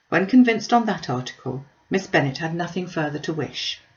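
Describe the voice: A woman with a low pitch speaks with lively intonation amid audible room echo. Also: moderate pace.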